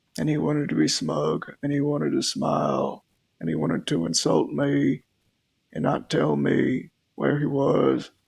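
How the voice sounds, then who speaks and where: A man's put-on character voice, raspy and very deep, at a moderate pace. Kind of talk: western roleplay drawl. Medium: game stream. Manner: slow, weary, measured.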